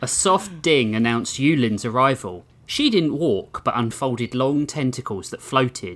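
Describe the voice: The text is simply read out. It is plain reading aloud.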